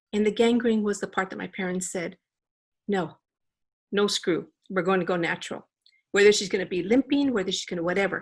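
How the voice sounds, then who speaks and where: A medium-pitched woman with a Spanish accent at a fairly quick pace, with long, frequent pauses, on a very clean recording with a silent background. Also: ordinary pitch variation. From Los Angeles, US. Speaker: company founder and CEO. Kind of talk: interview.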